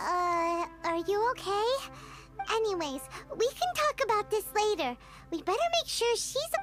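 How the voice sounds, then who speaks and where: Clear music plays in the background as a put-on character voice at an extremely high pitch moves at a moderate pace, broken by long, frequent pauses. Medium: video game. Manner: chatty, expressive.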